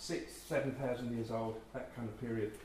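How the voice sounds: A man's dark, mellow tone with audible room echo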